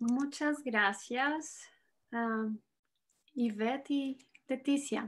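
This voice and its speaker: A woman with a Spanish accent speaks at a very slow pace in a high pitch, her fairly even intonation broken by long, frequent pauses. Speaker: psychologist and researcher. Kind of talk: conference presentation. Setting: video call.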